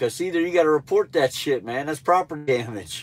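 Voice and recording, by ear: A man speaks with a nasal sound and a fairly high pitch. His intonation is lively. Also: fairly quick pace.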